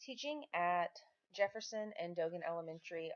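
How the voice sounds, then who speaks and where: A woman with a Southern accent and fairly low pitch at a moderate pace, in a dry, close sound with no echo. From Texas Gulf Coast, Lake Jackson. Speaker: former teacher, stay-at-home mother. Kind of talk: reading aloud. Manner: formal.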